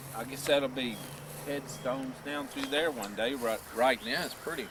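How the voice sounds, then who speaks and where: With noticeable background noise behind him, a man talks at a moderate pace in a medium pitch with ordinary pitch variation. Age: 60s. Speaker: family video maker. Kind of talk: casual chat.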